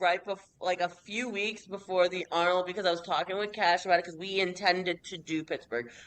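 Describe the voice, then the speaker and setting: A woman with a Northeastern US accent, an energetic tone and a moderate pace. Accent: Northeast US, low tone. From New York, US Northeast. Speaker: professional bikini bodybuilder. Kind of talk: casual interview chat.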